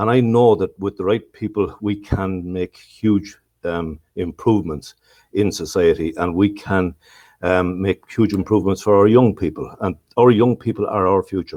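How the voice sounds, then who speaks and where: Against a quiet background, a man with an Irish accent speaks at a moderate pace in a dark, mellow tone, his fairly low pitch held to fairly even intonation. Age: 60s. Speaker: local councillor. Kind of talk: casual chat. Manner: halting.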